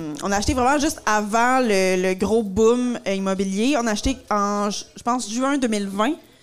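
In an unremarkable speaking voice, the speaker goes at a fairly slow pace with ordinary pitch variation. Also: woman, fairly high pitch for a woman. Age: 30s. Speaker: comedian. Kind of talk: casual chat.

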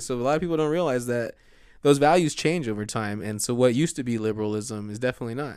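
A man speaks very fast at a medium pitch with ordinary pitch variation, on a very clean recording with a silent background. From US, Mexican-American family. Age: 30s. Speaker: city council candidate. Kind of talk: casual interview.

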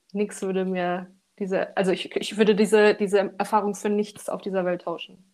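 A woman speaks at a medium pitch and a moderate pace. Her intonation stays flat and monotone. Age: 20s. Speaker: architect, coaching client. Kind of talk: casual interview, personal testimony. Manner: halting, many fillers.

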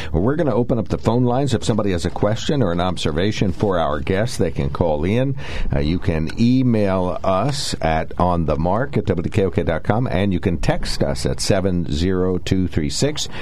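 A man with a very deep, low pitch speaks at a fairly slow pace with hardly any pauses and very even loudness. Noticeable background noise runs underneath. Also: lively intonation. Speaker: radio talk show host. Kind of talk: radio call-in talk show. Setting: radio studio.

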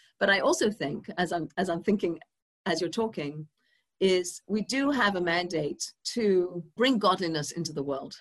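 A woman with an English accent speaks at a moderate pace and medium pitch, her pitch varying an ordinary amount. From England. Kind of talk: interview conversation.

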